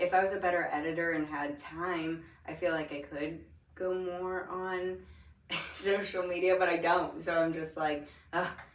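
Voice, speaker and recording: A woman speaks in a flat monotone at a fairly low pitch, with noticeable background noise and audible room echo. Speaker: aesthetics trainer hosting an interview. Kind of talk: casual interview chat. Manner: slow.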